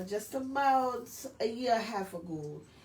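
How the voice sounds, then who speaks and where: With noticeable background noise and audible room echo, a woman speaks fairly slowly in a Southern US accent with lively intonation. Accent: Southern country. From rural north Florida, Hawthorne. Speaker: singer and poet. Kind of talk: interview. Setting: radio show. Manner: halting, many fillers.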